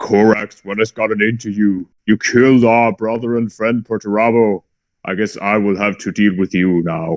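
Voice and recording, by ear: A man's put-on character voice at a fairly low pitch. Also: moderate pace.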